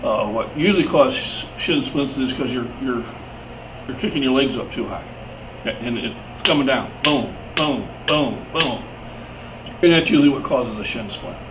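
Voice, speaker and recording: A man talks with long, frequent pauses. There is noticeable background noise and audible echo from the room. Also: fairly high pitch for a man, ordinary pitch variation, moderate pace. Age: 60s. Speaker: powerlifter. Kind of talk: casual talk to camera, training tips. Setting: gym. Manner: halting, many repeated words.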